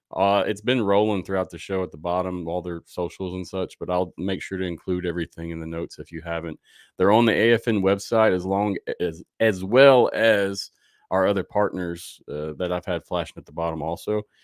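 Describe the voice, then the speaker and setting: A man with a very deep, low pitch and a Southern US accent, at a fairly quick pace, with fairly even intonation, big swings in loudness, and a dry, close sound with no echo on a very clean recording with a silent background. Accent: Southern twang. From US South. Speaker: sports podcast host. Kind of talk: live show outro. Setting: livestream. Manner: casual, conversational.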